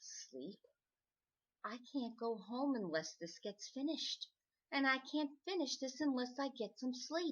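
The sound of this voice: A woman does a put-on character voice at a high pitch, with a fairly bright tone and a slightly husky edge. She speaks at a fairly slow pace with ordinary pitch variation.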